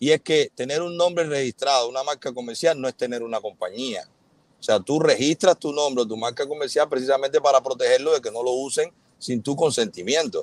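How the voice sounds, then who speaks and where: With a Cuban accent, a man speaks fairly quickly at a fairly high pitch with ordinary pitch variation, in a dry sound with no echo. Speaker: influencer and businessman. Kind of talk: live interview, defending himself. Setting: video call, livestream. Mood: earnest, defensive explanation. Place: car. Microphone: earbuds.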